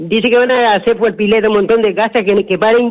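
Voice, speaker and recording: A high-pitched man at a fairly quick pace. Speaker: caller. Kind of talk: phone-in comment. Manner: halting.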